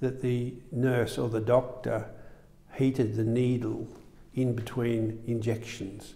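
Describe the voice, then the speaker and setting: With an Australian accent, a man speaks at a very slow pace. His intonation is monotone and flat. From Melbourne, Australia. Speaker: surgeon. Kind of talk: interview. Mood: calm reminiscing. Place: studio. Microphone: lapel.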